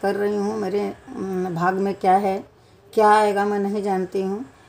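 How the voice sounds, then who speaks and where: A woman's voice at medium pitch. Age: 60s. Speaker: vlogger, grandmother. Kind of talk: personal vlog monologue. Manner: halting.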